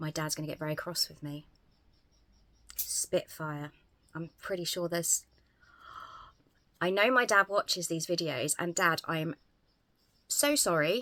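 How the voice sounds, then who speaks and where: A woman's fairly slow speech with a southern English accent, a bright, sharp tone, ordinary pitch variation and long, frequent pauses. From England, Southampton. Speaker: YouTuber. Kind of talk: casual vlog. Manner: hesitant, many fillers.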